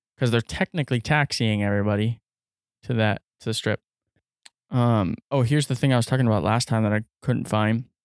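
A man with an ordinary speaking voice talks at a medium pitch and a fairly quick pace, with ordinary pitch variation. His loudness stays very even, and the recording is very clean with a silent background. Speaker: podcast host. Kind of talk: casual chat. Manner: casual, swearing, conversational.

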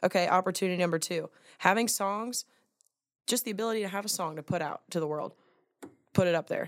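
Animated and very fast, a woman with an American accent speaks at a medium pitch with ordinary pitch variation, breaking off with long, frequent pauses. The sound is dry and close with no echo. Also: very clean recording, silent background. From Atlanta, US South. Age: 20s. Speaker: country singer. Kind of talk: casual chat.

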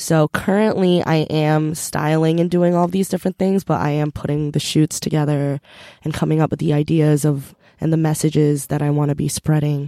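In an American accent, a woman speaks at a moderate pace with a very deep, low pitch and a dark, mellow tone, her loudness very even, on a very clean recording with a silent background and a dry, close sound with no echo. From US, raised partly in Korea. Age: 20s. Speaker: fashion stylist. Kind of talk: casual chat. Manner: animated.

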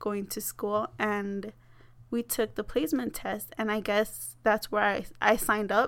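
This is an ordinary speaking voice from a woman, pitched fairly high. She talks at a fairly slow pace with ordinary pitch variation. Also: very clean recording, silent background. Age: 20s. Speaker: college student and poet. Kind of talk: interview.

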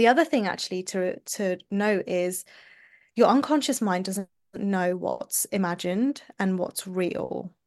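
A woman with a London accent talks with ordinary pitch variation. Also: medium pitch for a woman, fairly slow pace. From London, England. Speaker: somatic mindset coach. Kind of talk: podcast interview.

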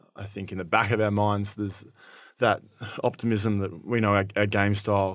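Here a man speaks with an Australian accent at a fairly low pitch. The recording is very clean, with a silent background. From country Victoria, Shepparton. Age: 20s. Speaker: Australian rules footballer. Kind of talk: casual interview.

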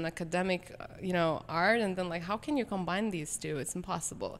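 The pace is fairly quick. The speaker is a woman with a medium pitch. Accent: Lithuanian. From Lithuania. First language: Lithuanian. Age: 20s. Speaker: pianist. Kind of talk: casual chat.

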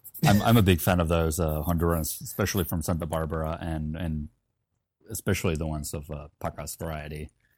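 Music plays behind a man whose very deep, low voice moves at a fairly quick pace with fairly even intonation. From Finland, Helsinki. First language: Finnish. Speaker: coffee company founder and former barista champion. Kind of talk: casual interview.

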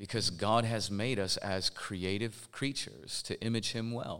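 In a plain, everyday voice, a man with an American accent speaks at a fairly slow pace with ordinary pitch variation on a very clean recording with a silent background. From Portland, Oregon. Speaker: pastor and hip-hop artist. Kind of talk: live panel discussion. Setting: stage with live audience.

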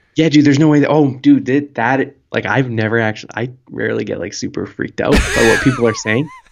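A man talking at a very fast pace with hardly any pauses. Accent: Canadian. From Canada. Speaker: podcast co-host. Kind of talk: casual chat, comedic. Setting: remote call from a different time zone.

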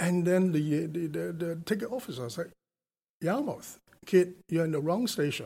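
A man with a Hong Kong accent speaks at a high pitch in a dark, mellow tone. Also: ordinary pitch variation, moderate pace. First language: Cantonese. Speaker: telecom company executive. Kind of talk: interview. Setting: studio.

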